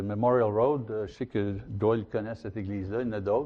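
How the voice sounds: A man's fairly low voice with a slightly mellow tone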